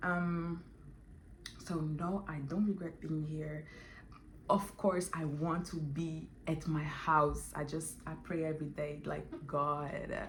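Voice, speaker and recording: Amid audible room echo, a woman with a very deep, low pitch speaks at a very slow pace in a monotone, flat intonation. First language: Portuguese or French, not English. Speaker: vlogger. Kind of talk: casual vlog monologue. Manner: halting, with many fillers.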